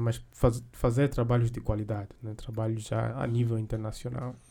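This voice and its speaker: Here a man talks at a moderate pace. His medium-pitched voice has a dark, mellow tone. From grew up elsewhere in Africa, not Angola. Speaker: podcast host. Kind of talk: interview. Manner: halting, many fillers.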